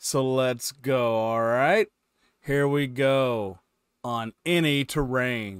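At a very slow pace, a man speaks with ordinary pitch variation, the sound dry with no echo and the background quiet. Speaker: reaction video host. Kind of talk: casual reaction vlog chat. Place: home room. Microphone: headset.

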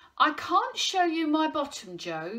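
Put-on character voice from a woman, high, bright and sharp, with big pitch swings, at a fairly slow pace

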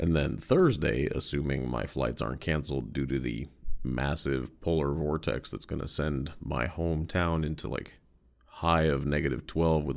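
A man's very deep, low voice with vocal fry and ordinary pitch variation, at a moderate pace against a quiet background. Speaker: podcast host. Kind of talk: casual solo podcast monologue. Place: home room.

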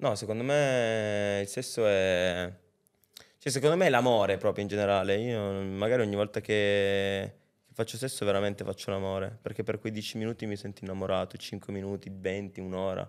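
Against a quiet background, a man with an unremarkable speaking voice talks at a moderate pace with a fairly low pitch and fairly even intonation. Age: 20s. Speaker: rapper; podcast guest. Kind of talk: casual chat. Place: studio. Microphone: studio mic.

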